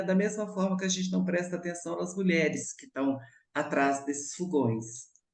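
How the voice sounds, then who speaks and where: A woman speaks at a moderate pace with a medium pitch. There is audible room echo. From Brazil, Minas Gerais (Belo Horizonte). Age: 70s. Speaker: actress and cook. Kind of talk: radio interview.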